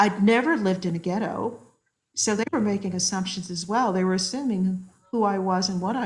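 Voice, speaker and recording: Somewhat breathy and with an American accent, a woman speaks at a fairly quick pace in a medium pitch with fairly even intonation. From US, military upbringing in various places. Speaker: social psychologist. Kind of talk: podcast interview.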